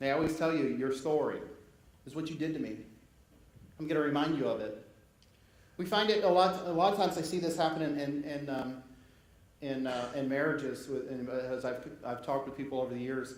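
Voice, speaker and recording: There is audible room echo as a man with a fairly high pitch talks at a fairly quick pace, using an animated tone and ordinary pitch variation. He leaves long, frequent pauses. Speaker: pastor. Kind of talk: sermon. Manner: fast.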